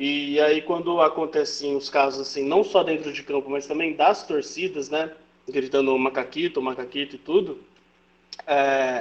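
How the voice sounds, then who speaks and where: This man has a plain, everyday voice, pitched fairly high, and talks at a moderate pace with fairly even intonation. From Brazil. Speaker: football commentator. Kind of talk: casual chat.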